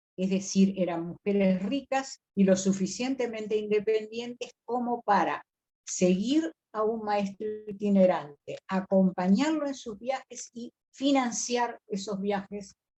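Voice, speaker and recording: A woman speaks slowly-ish with a dark, mellow tone, somewhat breathy, with ordinary pitch variation. The sound is dry and close, with no echo. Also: medium pitch for a woman. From Río de la Plata region. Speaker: biblical scholar and lecturer. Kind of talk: lecture on biblical texts.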